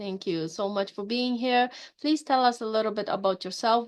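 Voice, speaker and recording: A woman speaks with a non-native accent. Her pitch is fairly high, with ordinary variation. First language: not English. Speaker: podcast host. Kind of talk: interview. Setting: podcast.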